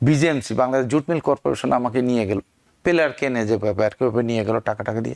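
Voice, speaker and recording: A man speaks at a medium pitch with ordinary pitch variation in an unremarkable speaking voice. The recording is very clean, with a silent background and a dry, close sound with no echo. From Bangladesh. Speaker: auxiliary police captain. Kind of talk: interview. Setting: studio.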